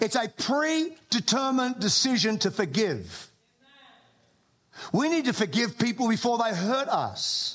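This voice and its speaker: With an Australian accent, a man speaks at a fairly slow pace and a high pitch. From Australia, living in the US for 20 years. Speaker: pastor preaching a sermon. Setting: church stage. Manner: emphatic, repetitive preaching cadence.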